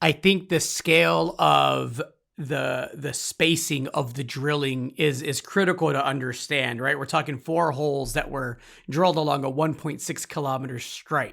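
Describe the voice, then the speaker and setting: Vocal fry runs through a man's fairly high-pitched voice. His tone is bright and sharp, and his pace is fairly slow. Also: ordinary pitch variation, very clean recording, silent background. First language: Spanish. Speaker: interviewer. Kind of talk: interview.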